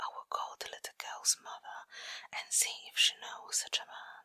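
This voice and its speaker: The voice is whispering at a fairly slow pace. Its tone is gentle and soothing. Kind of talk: whispered bedtime story reading for ASMR. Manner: whispered, gentle, soothing.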